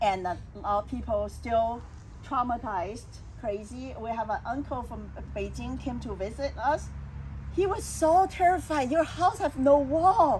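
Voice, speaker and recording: A woman with a Chinese accent at a fairly slow pace. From China. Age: 60s. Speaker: salon host and speaker. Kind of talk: personal testimony in a casual talk.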